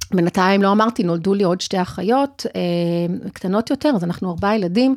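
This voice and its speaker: This woman sounds dry and close, with no echo at all. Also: very clean recording, silent background. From Argentina, raised in Israel. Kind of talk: interview (being interviewed), personal story.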